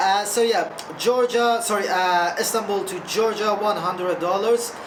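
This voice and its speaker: A woman speaks at a medium pitch and moderate pace with fairly even intonation. There is audible room echo and noticeable background noise. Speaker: travel vlogger. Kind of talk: casual travel vlog.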